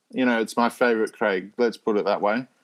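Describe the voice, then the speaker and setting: A man with an Australian accent talks at a very fast pace and a medium pitch, on a very clean recording with a silent background. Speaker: Bond fan site editor. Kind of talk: casual interview chat. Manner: animated.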